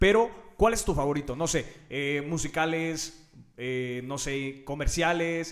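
Speaking very slowly with a Mexican accent, a man has a fairly high voice and ordinary pitch variation, with noticeable background noise around him. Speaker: podcast host. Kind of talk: show outro; casual interview.

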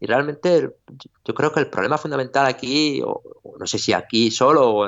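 Lively intonation marks speech that moves at a moderate pace. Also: man. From Spain, Orihuela (Alicante). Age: 40s. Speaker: writer and music teacher. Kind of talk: interview. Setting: video call. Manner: halting.

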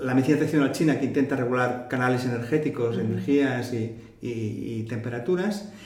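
Speech comes at a fairly quick pace with ordinary pitch variation. Audible room echo and noticeable background noise are present. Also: man. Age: 60s. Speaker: retired naturopathic physician. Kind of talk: interview.

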